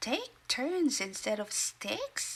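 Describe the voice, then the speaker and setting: Using a put-on character voice, a female-sounding speaker talks at a high pitch. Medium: read story. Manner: glum, slow.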